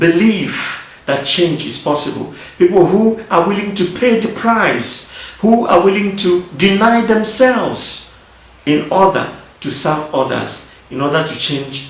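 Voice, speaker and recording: A man's high-pitched voice moves at a fairly slow pace with lively intonation, noticeable background noise audible behind it. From Nigeria. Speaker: politician. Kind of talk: video address to an audience.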